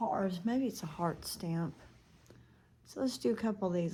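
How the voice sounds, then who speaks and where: Soft-spoken, somewhat breathy speech in a dark, mellow tone, fairly slow, with lively intonation. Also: woman. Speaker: makeup vlogger. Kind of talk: makeup tutorial. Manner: casual, thinking aloud.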